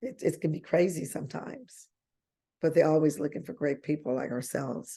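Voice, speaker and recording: Dark and mellow, a woman's voice sits at a very deep, low pitch. She moves at a fairly quick pace with lively intonation. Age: 60s. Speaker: travel agent and team trainer. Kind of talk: online training session. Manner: conversational, repetitive.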